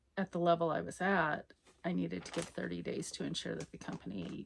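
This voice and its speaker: Noticeable noise fills the background. Over it, a woman speaks fairly quickly. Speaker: knitting podcaster. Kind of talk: casual monologue.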